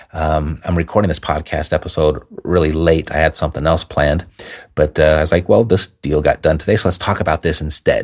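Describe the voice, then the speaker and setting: A man's put-on character voice, raspy and very deep, at a fairly quick pace with fairly even intonation. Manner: quiet.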